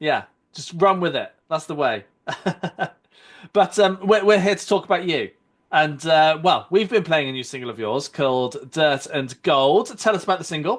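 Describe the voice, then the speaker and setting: A man is speaking here. His intonation is lively and his pace moderate. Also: fairly high pitch for a man. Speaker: radio or podcast host.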